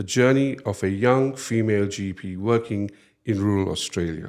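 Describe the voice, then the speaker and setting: Against a quiet background, a man talks in a plain, everyday voice at medium pitch, with ordinary pitch variation and a moderate pace. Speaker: podcast host. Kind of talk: podcast host talk.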